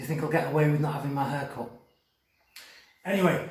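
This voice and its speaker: The room echo is audible. A man talks in an animated tone. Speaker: primary school teacher. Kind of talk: storytelling; school assembly talk. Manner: whispering.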